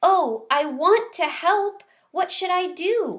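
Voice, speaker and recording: A woman's squeaky, put-on character voice with an extremely high pitch at a very slow pace. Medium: read story. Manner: soft-spoken, gentle.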